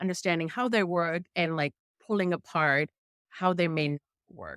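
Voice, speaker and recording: Speaking in a strong German accent, a woman has a fairly low pitch. Her moderate-paced voice sounds dry and close with no echo. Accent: thick German. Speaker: journalist testing AI hiring tools. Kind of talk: interview conversation. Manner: hesitant with repetitions.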